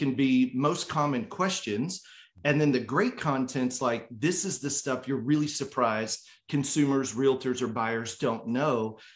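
It's a plain, everyday voice from a man at medium pitch. His pitch varies an ordinary amount. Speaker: mortgage industry panelist. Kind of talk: casual panel chat. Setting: video call.

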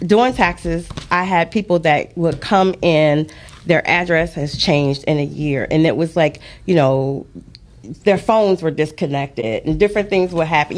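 Here is a woman with an ordinary speaking voice and a fairly low pitch. She talks at a moderate pace with ordinary pitch variation. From Detroit, Michigan. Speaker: author and financial advisor. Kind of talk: interview. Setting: studio.

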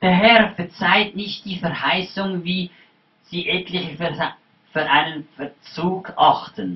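At a very slow pace, a man talks in a high pitch. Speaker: preacher. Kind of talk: sermon delivered in German with a line-by-line English interpreter. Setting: church. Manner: animated, fervent preaching, pausing for the interpreter.

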